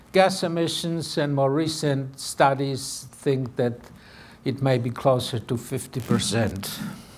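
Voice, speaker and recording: The voice moves at a fairly slow pace with ordinary pitch variation. Audible room echo is present. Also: man. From Poland. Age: 80s+. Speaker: animal rights activist. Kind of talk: lecture. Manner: formal.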